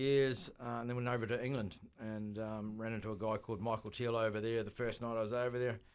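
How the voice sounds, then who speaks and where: A very fast-talking man with a slight New Zealand accent. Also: very clean recording, silent background. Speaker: bar owner. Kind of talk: radio interview. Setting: radio studio.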